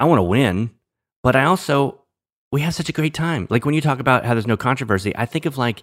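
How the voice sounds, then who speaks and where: Delivered at a fairly quick pace with lively intonation in an American accent, the voice is dry and close with no echo, on a very clean recording with a silent background. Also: man. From New Orleans, US South. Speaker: former TV stand-in and actor, fantasy league commissioner. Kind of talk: casual interview chat. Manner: halting, with repeated words.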